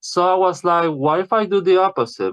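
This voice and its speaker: Someone with a non-native accent speaks in a dry, close sound with no echo. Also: man. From Puerto Rico. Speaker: podcast guest. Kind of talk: interview.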